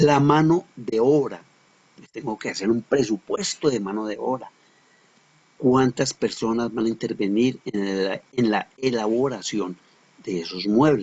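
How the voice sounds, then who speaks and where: At a fairly slow pace, a man talks in a normal speaking voice with medium pitch, ordinary pitch variation and big swings in loudness. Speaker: teacher. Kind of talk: lecture.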